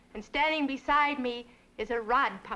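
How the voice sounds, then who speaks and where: A woman speaks with a high pitch. Her voice is raised and projected. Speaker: storyteller. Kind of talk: TV host introduction.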